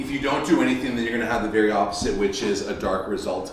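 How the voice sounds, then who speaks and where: A man with an American accent, medium pitch and ordinary pitch variation, amid noticeable background noise and audible room echo. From United States, first-generation American. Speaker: Olympic swimmer and workshop speaker. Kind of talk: parent workshop talk. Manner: repetitive, stammering restarts.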